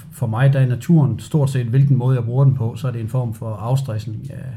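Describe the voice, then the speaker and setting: In a room with audible echo, a man with a dark, mellow tone and medium pitch speaks fairly quickly, somewhat breathy, his intonation fairly even. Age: 40s. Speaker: outdoor enthusiast. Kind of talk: interview. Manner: halting.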